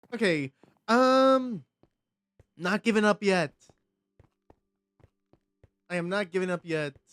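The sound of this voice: A slow, fairly bright voice with lively intonation, recorded dry and close with no echo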